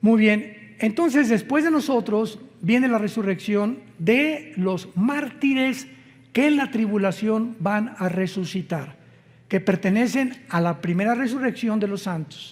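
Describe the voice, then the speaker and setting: A man's high voice with lively intonation at a very slow pace. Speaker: preacher. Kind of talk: sermon.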